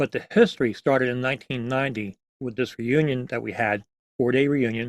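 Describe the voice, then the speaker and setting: With an American accent, a man speaks in an unremarkable speaking voice at medium pitch and a fairly quick pace, his intonation fairly even and the sound dry and close with no echo. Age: 60s. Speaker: museum founder and drum corps veteran. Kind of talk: interview.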